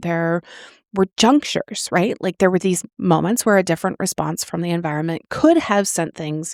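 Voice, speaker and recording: A woman talks at a moderate pace in an ordinary speaking voice, medium in pitch, with lively intonation. The recording is very clean, with a silent background and a dry, close sound with no echo. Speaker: author and podcast host. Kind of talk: podcast talk. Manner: casual, conversational, with fillers.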